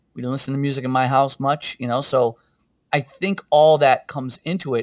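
Recorded dry and close with no echo, a man has an ordinary speaking voice with a medium pitch and ordinary pitch variation. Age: 50s. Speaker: rock singer. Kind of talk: casual chat.

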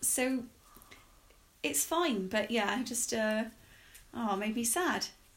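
Somewhat breathy, the speaker goes at a very slow pace with lively intonation and long, frequent pauses. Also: woman, fairly high pitch for a woman. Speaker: podcast host. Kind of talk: casual chat.

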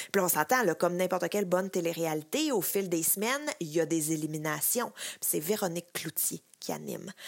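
Over a very clean recording with a silent background, a woman with a plain, everyday voice talks at a moderate pace and fairly low pitch, with ordinary pitch variation. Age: 30s. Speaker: pop culture columnist. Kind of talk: scripted chronicle. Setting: recorded at home.

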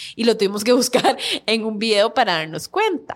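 Speaking at a moderate pace with lively intonation, a woman with an ordinary speaking voice is heard in a very clean recording with a silent background. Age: 30s. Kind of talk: interview.

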